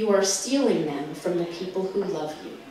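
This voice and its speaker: This woman's voice sits at a medium pitch and moves at a moderate pace. Noticeable background noise runs underneath. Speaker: spoken word poet. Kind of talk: spoken word poetry performance. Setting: live venue with audience.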